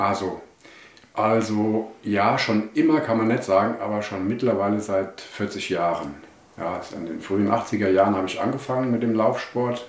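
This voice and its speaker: Audible room echo surrounds a man with a fairly low pitch. His pace is moderate and his pitch varies in an ordinary way. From Germany, Hesse (Wetzlar). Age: 60s. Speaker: running coach and shop owner. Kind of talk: podcast interview. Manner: hesitant, many fillers.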